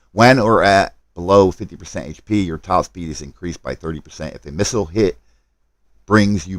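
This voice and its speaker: A man speaks fairly quickly with vocal fry and lively intonation. The recording is very clean, with a silent background. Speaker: gaming livestreamer. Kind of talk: live stream gameplay commentary. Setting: live stream.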